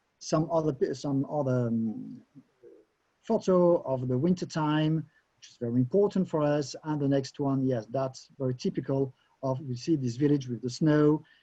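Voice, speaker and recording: Somewhat breathy and dark, mellow in tone, a man's fairly high voice moves with ordinary pitch variation. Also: moderate pace. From Alsace, France. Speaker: wine educator. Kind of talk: webinar presentation. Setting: online webinar. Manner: halting.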